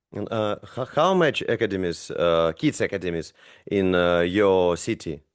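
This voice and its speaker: A man talks at a moderate pace. His pitch is very deep and low, with ordinary variation. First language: not English. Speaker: basketball coach, podcast host. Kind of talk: podcast interview. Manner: halting, many fillers.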